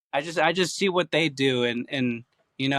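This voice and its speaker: A man with an American accent speaks at a moderate pace in a fairly high pitch, his bright, sharp tone carrying ordinary pitch variation, with a dry, close sound, no echo, and a very clean recording over a silent background. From California and Georgia, US. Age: 20s. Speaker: slap fighter. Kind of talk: interview. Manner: halting.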